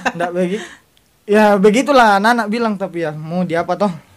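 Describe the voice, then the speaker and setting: This man has a high pitch with ordinary pitch variation. He talks at a moderate pace. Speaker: podcast guest. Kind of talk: casual chat.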